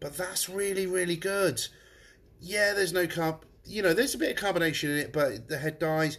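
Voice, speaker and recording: This man has a high pitch with ordinary pitch variation. He speaks at a fairly quick pace. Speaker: pub owner reviewing beer. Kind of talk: casual beer tasting review.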